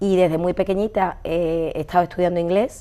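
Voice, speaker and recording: Fairly quick and with fairly even intonation, a woman speaks in a dark, mellow tone. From Andalusia, Seville. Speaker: medical interpreter. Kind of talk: interview.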